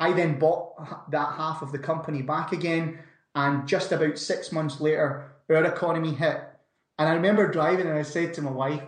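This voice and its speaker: A man with a Scottish accent speaks at a fairly quick pace in a fairly high pitch, his intonation fairly even, with audible room echo. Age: 30s. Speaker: entrepreneur. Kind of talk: interview.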